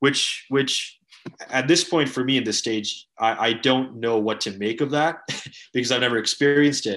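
A man speaks at a moderate pace in a plain, everyday voice, with medium pitch and ordinary pitch variation. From Canada. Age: 20s. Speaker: writer and student. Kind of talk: interview.

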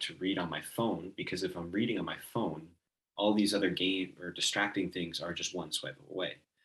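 A man with an ordinary speaking voice and a fairly low pitch talks at a fairly quick pace. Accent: American. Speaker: podcast host. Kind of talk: casual chat. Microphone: computer's built-in mic, less than optimal audio.

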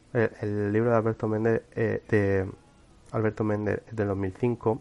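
Fairly slow pace and monotone, flat intonation. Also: man. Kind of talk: cultural commentary monologue. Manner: halting, many fillers and repetitions.

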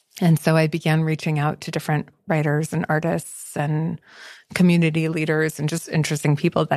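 In a flat monotone, a woman with an American accent talks at a very deep, low pitch. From first-generation American. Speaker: writer. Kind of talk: casual conversation.

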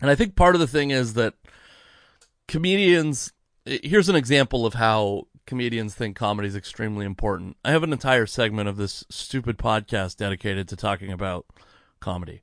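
In a normal speaking voice, someone talks at a fairly quick pace with lively intonation, the sound dry and close with no echo against a quiet background. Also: man, medium pitch for a man. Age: 30s. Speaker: podcast host and comedian. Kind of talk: casual chat.

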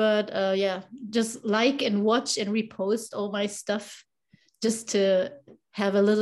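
With a non-native accent, a woman speaks at a fairly slow pace, in a medium pitch and with fairly even intonation. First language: not English. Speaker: wheelchair basketball fan and social media clipper. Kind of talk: casual interview. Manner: halting, with frequent fillers and repetitions.

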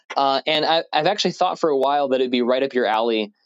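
An unremarkable speaking voice belongs to this man, pitched in the middle, with lively intonation. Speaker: podcaster sending a message. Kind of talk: casual recorded message.

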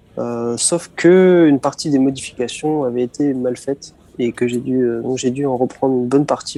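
A man in a normal speaking voice talks at a medium pitch with fairly even intonation. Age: 20s. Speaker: student and car enthusiast. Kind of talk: interview.

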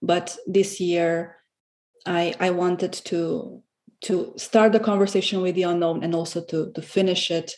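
A woman's fairly low voice with a Romanian accent, fairly even intonation and a fairly slow pace. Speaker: guest, salon host and entrepreneur. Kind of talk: casual interview chat. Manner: halting, many fillers.

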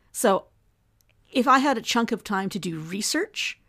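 A woman with a Canadian accent and ordinary pitch variation, in a dry, close sound with no echo and a very clean recording with a silent background. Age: 50s. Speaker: senator and former journalist. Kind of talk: casual interview chat. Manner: talkative.

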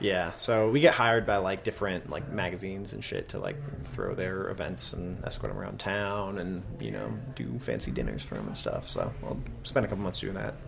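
A man with an American accent speaks at a fairly quick pace. Music plays in the background. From Vermont, US. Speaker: punk band musician. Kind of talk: casual interview chat. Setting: basement green room of a music venue.

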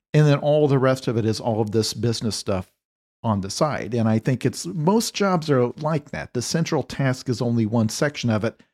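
A man speaks at a medium pitch and a moderate pace with lively intonation, in an ordinary speaking voice. The recording is very clean with a silent background and a dry, close sound with no echo. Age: 40s. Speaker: novelist. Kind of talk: casual chat.

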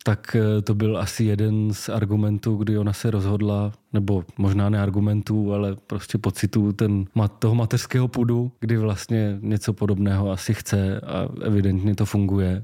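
A man with a dark, mellow tone speaks at a moderate pace in a monotone, flat intonation, with hardly any pauses and very even loudness. The recording is very clean, with a silent background. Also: fairly low pitch for a man. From Czech Republic, Slovácko (Moravia). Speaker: cargo bike seller. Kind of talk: casual interview.

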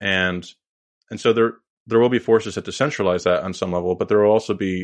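Here is a man with an unremarkable speaking voice and a fairly low pitch. He talks at a fairly quick pace with fairly even intonation. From Canada. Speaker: policy analyst. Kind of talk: casual interview conversation.

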